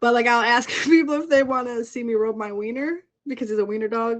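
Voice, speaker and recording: With an animated tone, a woman speaks at a high pitch. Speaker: pet owner guest. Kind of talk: casual live-stream interview. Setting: live stream on a social app. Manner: fast.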